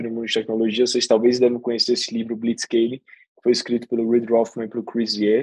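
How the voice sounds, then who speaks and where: Speaking fairly quickly in a northeastern Brazilian accent, a man keeps a medium pitch and a monotone, flat intonation. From Brazilian Northeast, Aracaju. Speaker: venture capital investor. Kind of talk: podcast interview.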